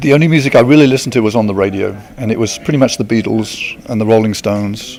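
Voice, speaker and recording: A man with an English accent talks at a very fast pace, his medium pitch showing ordinary variation. The recording carries noticeable background noise and audible room echo. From England, countryside near Luton. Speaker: smooth jazz guitarist. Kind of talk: interview. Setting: outdoor amphitheater at a concert.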